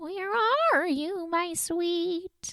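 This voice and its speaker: This is a put-on character voice. It sounds squeaky and extremely high-pitched. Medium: read story. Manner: cooing, tender.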